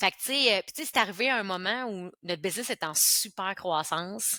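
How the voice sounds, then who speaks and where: Her tone is bright and sharp as the woman speaks at a moderate pace, with a dry, close sound and no echo. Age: 40s. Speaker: entrepreneur. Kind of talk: interview. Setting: podcast. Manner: animated.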